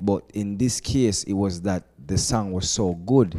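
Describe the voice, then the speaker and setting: Speaking with a Jamaican accent, a man has a fairly low voice and a dark, mellow tone. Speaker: reggae and dancehall artist. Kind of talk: casual interview.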